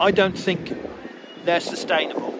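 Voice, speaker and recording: Noticeable background noise runs behind a man who talks at a moderate pace. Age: 60s. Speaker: farmer. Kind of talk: street interview. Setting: outdoors at street rally.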